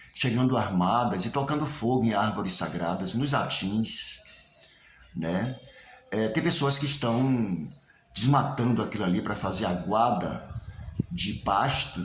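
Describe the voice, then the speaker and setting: Against noticeable background noise and audible room echo, a man at a medium pitch speaks with lively intonation and long, frequent pauses. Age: 70s. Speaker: local historian and candomblé researcher. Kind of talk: spoken video message to community. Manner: hesitant, with fillers and repetitions.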